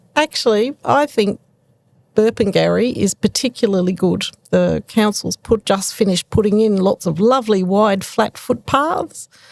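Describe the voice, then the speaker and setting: Woman with an Australian accent at a moderate pace, ordinary pitch variation and very even loudness, in a dry, close sound with no echo. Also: medium pitch for a woman. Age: 60s. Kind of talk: casual interview chat.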